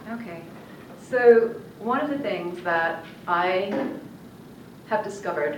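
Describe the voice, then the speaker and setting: A woman's medium-pitched voice with lively intonation, audible room echo and noticeable background noise. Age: 60s. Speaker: network marketing presenter. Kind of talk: sales pitch. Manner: enthusiastic.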